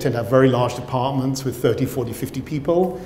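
A man with a British accent speaks at a moderate pace, his pitch fairly high with ordinary variation. Light background noise and audible room echo are present. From Britain. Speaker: professor and cell biologist. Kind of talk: lecture. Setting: stage with audience. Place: hall. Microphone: lapel.

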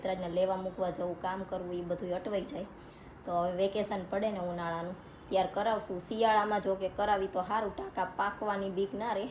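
In a medium pitch and a somewhat breathy voice, a woman speaks with monotone, flat intonation. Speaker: family vlogger. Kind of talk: casual vlog narration.

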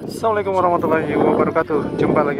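The man's pitch is high. The sound is dry with no echo, though background noise is noticeable. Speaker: railfan vlogger. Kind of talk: casual vlog chat. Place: station. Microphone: phone near.

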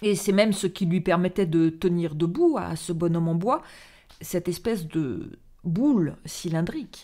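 A dark, mellow tone at a fairly slow pace over a quiet background. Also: woman, fairly low pitch for a woman, ordinary pitch variation. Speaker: storyteller reading a theatrical monologue. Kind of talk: dramatic narration of a monologue, read aloud. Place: home room. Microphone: studio mic.

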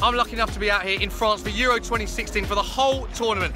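Loud music plays in the background as a man speaks in a dry sound with no echo. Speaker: football TV presenter. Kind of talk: on-location sports reporting. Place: street. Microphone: phone near.

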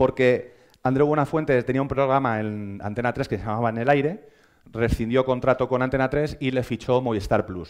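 In a quiet background, a man's moderately paced speech shows ordinary pitch variation. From Spain. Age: 30s. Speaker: social media editor; conference speaker. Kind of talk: lecture. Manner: hesitant, many fillers. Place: hall. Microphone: headset.

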